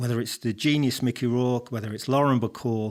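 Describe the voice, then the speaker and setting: Speaking at a very fast pace with an English accent, a man uses a medium pitch in a very clean recording with a silent background. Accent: noticeable English. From England, Coventry. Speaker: professor. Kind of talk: interview. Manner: hesitant, many repetitions.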